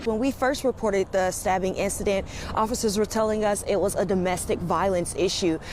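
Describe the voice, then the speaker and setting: The speech moves at a fairly quick pace with fairly even intonation and very even loudness. Noticeable background noise runs underneath. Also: woman, medium pitch for a woman. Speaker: news reporter. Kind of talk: live TV news report. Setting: outdoors.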